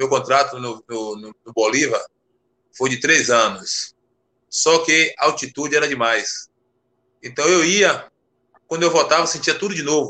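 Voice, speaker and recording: A man's fairly high, bright, sharp voice at a fairly slow pace, with ordinary pitch variation, big swings in loudness and long, frequent pauses. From Brazil, Salvador (Bahia). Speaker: retired footballer. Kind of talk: casual interview.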